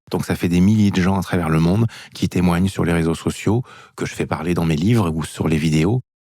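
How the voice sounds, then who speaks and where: At a fairly quick pace, a man with a very deep, low pitch and a dark, mellow tone speaks with ordinary pitch variation. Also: very clean recording, silent background. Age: 50s. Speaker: author and movement method founder, former dancer. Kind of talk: interview.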